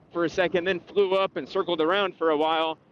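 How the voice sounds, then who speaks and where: With an American accent, a man talks in a high voice. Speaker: real estate agent. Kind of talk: casual vlog monologue. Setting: outdoors, riding a bike. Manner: halting, with pauses and repeated words.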